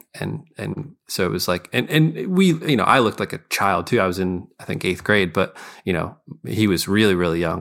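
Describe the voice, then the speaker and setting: Vocal fry marks this voice with an American accent, speaking at a moderate pace in a very clean recording with a silent background. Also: man, fairly low pitch for a man. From Scranton, Pennsylvania. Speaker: musician. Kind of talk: casual chat.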